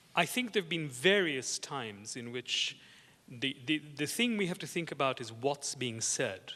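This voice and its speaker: With a non-native accent, a man speaks in a bright, sharp tone and lively intonation. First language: not English. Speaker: art historian. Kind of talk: panel discussion. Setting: conference with audience. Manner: halting, many repetitions.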